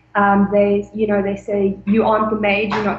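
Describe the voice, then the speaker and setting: Against noticeable background noise, a woman speaks in a fairly high pitch. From South Africa, Mpumalanga. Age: 20s. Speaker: former au pair. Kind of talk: interview.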